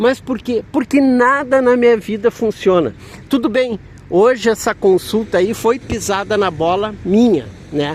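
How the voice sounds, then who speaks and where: A man talks with a high pitch. It varies in an ordinary way. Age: 60s. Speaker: vlogger. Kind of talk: casual vlog monologue. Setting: outside a health center.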